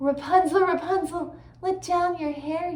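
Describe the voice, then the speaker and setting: Squeaky and extremely high-pitched, a woman's put-on character voice comes through. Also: moderate pace. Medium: read story.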